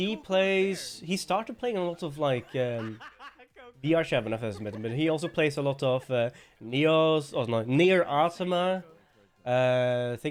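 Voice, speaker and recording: This man speaks with a Norwegian accent. His intonation is lively. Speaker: streamer. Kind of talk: casual livestream chat. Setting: live stream. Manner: mumbling.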